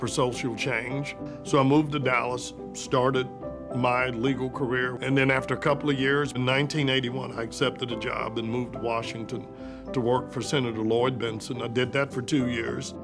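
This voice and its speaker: A man with an American accent, fairly quick and monotone with flat intonation, music in the background. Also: medium pitch for a man. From Austin, Texas. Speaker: lawyer and former mayor. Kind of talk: interview answer.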